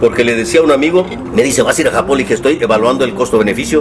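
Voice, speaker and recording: A man talks at a very fast pace with ordinary pitch variation. There is noticeable background noise. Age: 70s. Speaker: left-wing politician. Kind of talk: casual interview chat. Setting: at home during a meal.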